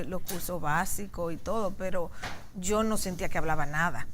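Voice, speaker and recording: Audible room echo carries a woman's medium-pitched voice as she speaks at a moderate pace with ordinary pitch variation. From Dominican Republic, Santiago (Cibao). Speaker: sociologist and political scientist. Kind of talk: TV interview.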